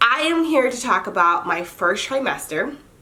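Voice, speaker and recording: Lively intonation carries over audible room echo. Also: woman. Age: 30s. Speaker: lifestyle vlogger and mother. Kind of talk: casual vlog monologue. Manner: chatty, informal with fillers.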